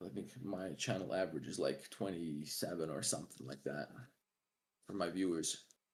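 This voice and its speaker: A man's very deep, low voice with vocal fry. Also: ordinary pitch variation, moderate pace. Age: 20s. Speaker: 3D artist streamer. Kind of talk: casual livestream chat. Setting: live stream.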